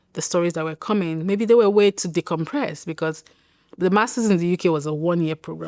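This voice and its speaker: A woman with a Nigerian accent speaks at a fairly low pitch with fairly even intonation. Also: very clean recording, silent background. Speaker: writer and public health professional. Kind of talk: interview answer.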